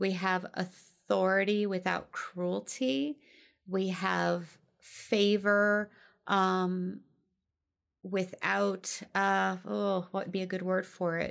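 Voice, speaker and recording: A woman talks very slowly on a very clean recording where the background is silent. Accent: slight Midwestern. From US Midwest. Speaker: life coach podcast host. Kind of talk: solo podcast talk from notes. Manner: casual with frequent fillers.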